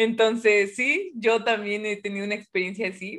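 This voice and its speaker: A woman talks at a fairly high pitch in an unremarkable speaking voice. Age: 20s. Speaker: physics student and science communicator. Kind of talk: casual chat.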